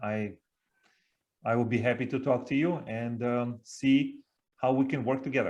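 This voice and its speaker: With a slight Russian accent, a man speaks at a moderate pace and medium pitch. His intonation is fairly even, and he takes long, frequent pauses. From Siberia, Russia. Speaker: leadership coach and speaker. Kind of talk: interview.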